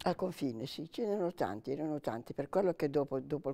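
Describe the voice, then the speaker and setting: With a dark, mellow tone, a woman speaks at a fairly quick pace. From Italy, Liguria (Savona area, Carcare); Liguria. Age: 90s. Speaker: retired lab analyst, WWII witness; interviewee. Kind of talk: oral history interview; interview answer. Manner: halting. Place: home room. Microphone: lapel.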